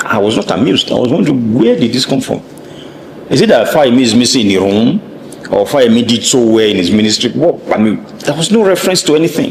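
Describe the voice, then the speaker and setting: A man talks at a very fast pace with very even loudness. Noticeable background noise sits behind him. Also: medium pitch for a man, lively intonation. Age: 60s. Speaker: political commentator. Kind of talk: interview.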